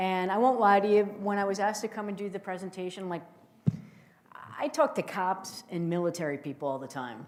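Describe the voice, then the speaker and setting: Lively in intonation, a woman with a New Jersey accent talks fairly quickly at a medium pitch. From northern New Jersey. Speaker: intelligence officer and keynote speaker. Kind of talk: keynote speech. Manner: animated.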